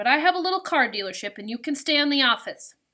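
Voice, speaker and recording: A put-on character voice delivered at a very fast pace. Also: woman, high pitch for a woman. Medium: read story.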